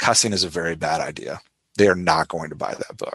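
The voice has an American accent and ordinary pitch variation, recorded dry and close with no echo. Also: man. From New Orleans, Louisiana, US. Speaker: thriller author and dialogue editor. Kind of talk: interview.

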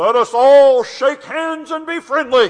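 In a put-on character voice, a man talks fairly slowly at an extremely high pitch.

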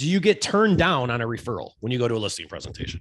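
Somewhat breathy, a man's voice moves through very wide pitch swings. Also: quiet background. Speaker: podcast host. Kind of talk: casual interview chat. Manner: animated, casual.

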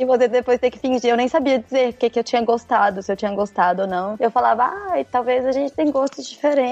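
A woman's high-pitched voice at a very fast pace, with ordinary pitch variation, over noticeable background noise. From Brazil, Minas Gerais (Ipatinga). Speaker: former lawyer living abroad. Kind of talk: casual interview chat.

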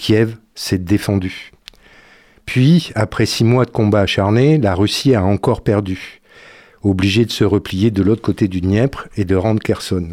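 Speaking at a fairly slow pace, a man has a fairly low pitch and a dark, mellow tone, with ordinary pitch variation and very even loudness. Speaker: association member and commentator. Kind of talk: commentary. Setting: studio.

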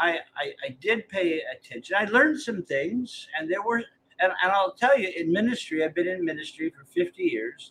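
With a bright, sharp tone and high pitch, a man speaks at a moderate pace. His intonation is lively and his loudness swings widely. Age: 70s. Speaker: retired pastor and author. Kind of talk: casual conversation. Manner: halting, repeats words.

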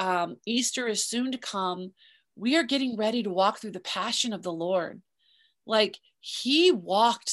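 In a normal speaking voice over a quiet background, a woman talks at a fairly slow pace and medium pitch with ordinary pitch variation. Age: 50s. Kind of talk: interview.

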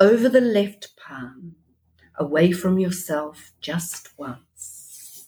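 Very slowly, a woman with a New Zealand accent speaks at a medium pitch, her voice somewhat breathy. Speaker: spiritual group leader. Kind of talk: guided prayer. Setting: remote call.

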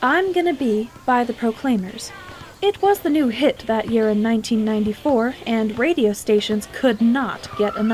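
The reading voice is unforced, and the intonation is lively.

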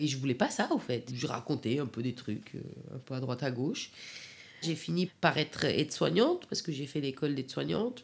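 This woman's pitch is very deep and low. Her intonation is lively and her pace moderate. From Afghanistan, Kabul; in France since age 15. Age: 40s. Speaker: caterer. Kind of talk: personal testimony. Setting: at home, in her living room. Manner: halting.

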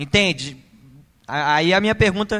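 A man is speaking. His tone is bright and sharp. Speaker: audience member asking a question. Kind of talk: audience question.

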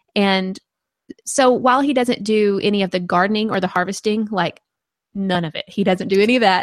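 Talking at a fairly quick pace with a Southern US accent, a woman keeps a medium pitch and ordinary pitch variation. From rural Arkansas. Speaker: gardening podcaster and blogger. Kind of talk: casual interview.

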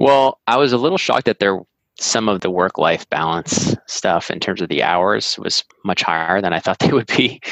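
Dry and close with no echo, this is a man's unremarkable speaking voice at a fairly low pitch. He keeps a moderate pace and lively intonation. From US Northeast, Massachusetts (Andover, north of Boston). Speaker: website founder and former investment banker. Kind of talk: interview.

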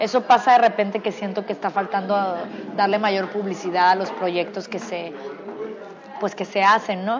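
Over crowd noise in the background, a woman talks at a moderate pace with a medium pitch and fairly even intonation. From Culiacán, Sinaloa, Mexico. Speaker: actress. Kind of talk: casual interview. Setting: restaurant.

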